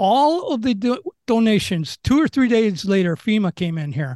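A man with an American accent talks at a moderate pace in a high voice, with a dry, close sound that has no echo against a quiet background. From Chicago, US Midwest. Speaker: local resident and social media commentator. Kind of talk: interview.

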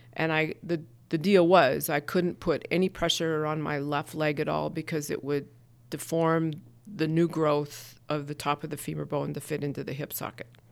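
The recording is very clean, with a silent background. A woman speaks in a very deep, low pitch with monotone, flat intonation. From Montana, US. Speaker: small business owner and chamber of commerce director. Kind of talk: interview.

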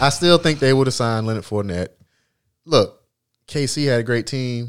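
Pausing long and often, a man talks at a moderate pace and medium pitch on a very clean recording with a silent background. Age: 40s. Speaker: podcast host. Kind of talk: casual chat.

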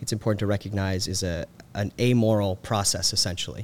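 A man speaks in a normal speaking voice, his pitch fairly low and his intonation fairly even. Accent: American. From US South, Georgia (Carrollton). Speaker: policy researcher. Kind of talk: casual interview. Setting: on-site recording.

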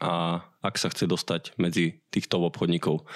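A man is heard in a dry, close sound with no echo. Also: very clean recording, silent background. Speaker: podcast host. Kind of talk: interview; scripted intro.

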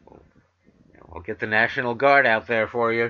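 A man with an American accent, medium pitch, ordinary pitch variation and a bright, sharp tone. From New York City. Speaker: vegan talk radio host. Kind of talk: talk radio show and interview.

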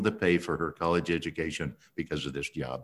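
Here a man talks with ordinary pitch variation at a moderate pace. The recording is very clean and the background silent. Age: 60s. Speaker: businessman. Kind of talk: interview.

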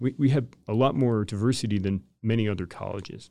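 On a very clean recording with a silent background, a man with a dark, mellow tone talks at a moderate pace using lively intonation. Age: 40s. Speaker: professor of civil engineering. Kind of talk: interview.

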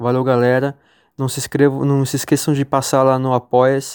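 A man speaks at a moderate pace in a flat monotone with a dark, mellow tone. The sound is dry and close with no echo, on a very clean recording with a silent background. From Brazil, São Paulo state. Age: 30s. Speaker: listener and supporter. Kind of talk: recorded tribute message.

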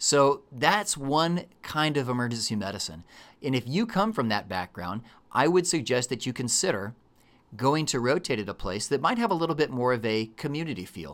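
With a Texan accent, a man speaks at a moderate pace and medium pitch in an animated tone, his pitch swinging very widely, on a very clean recording with a silent background. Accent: Texan American. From Texas. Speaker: emergency medicine physician and educator. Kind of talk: casual chat.

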